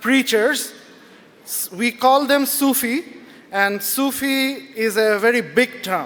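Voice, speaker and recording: Noticeable background noise sits behind a man speaking. He is loud, with fairly even intonation. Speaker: writer and blogger. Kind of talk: talk to a live audience.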